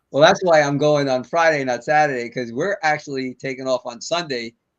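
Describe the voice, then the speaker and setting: Using a normal speaking voice, a man at a fairly high pitch speaks at a moderate pace with ordinary pitch variation, recorded dry and close with no echo against a quiet background. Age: 60s. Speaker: podcast host. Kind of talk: interview.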